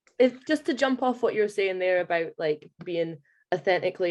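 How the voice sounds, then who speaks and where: With an Aberdeen accent, a woman talks at a medium pitch and a fairly quick pace, with ordinary pitch variation, over a quiet background. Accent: Aberdonian. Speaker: student. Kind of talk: audience question.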